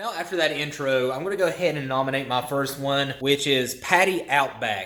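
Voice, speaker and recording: A man with a strong Southern accent, lively intonation, and a fairly quick pace, over noticeable background noise. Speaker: motovlogger and ER nurse. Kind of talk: casual vlog monologue.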